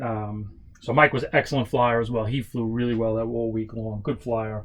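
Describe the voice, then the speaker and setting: This man has a New York accent. His pitch sits at a medium level. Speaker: model aircraft builder and stunt flyer. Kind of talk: casual workshop tutorial and storytelling. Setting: workshop. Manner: casual, with many fillers.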